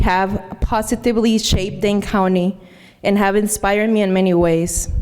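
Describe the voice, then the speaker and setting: A woman's medium-pitched voice, monotone and flat, at a moderate pace. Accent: Mexican. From Mexico. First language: Spanish. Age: 30s. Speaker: honoree speaker. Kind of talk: speech.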